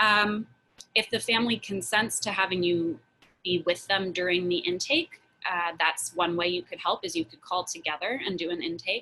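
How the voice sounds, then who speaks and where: A woman speaks at a moderate pace in a plain, everyday voice, fairly low in pitch with ordinary pitch variation. Her loudness swings widely. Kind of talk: Q&A on a community video call. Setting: Zoom video call.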